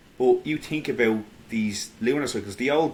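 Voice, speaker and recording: In an Irish accent, a man speaks at a fairly slow pace. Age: 30s. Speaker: independent history researcher. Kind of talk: casual podcast conversation. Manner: halting, many fillers and restarts.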